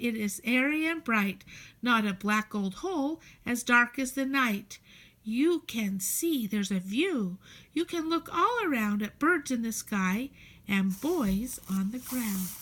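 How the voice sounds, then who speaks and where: A woman puts on a character voice, fairly high in pitch and delivered at a fairly slow pace. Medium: read story. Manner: chirpy, enthusiastic.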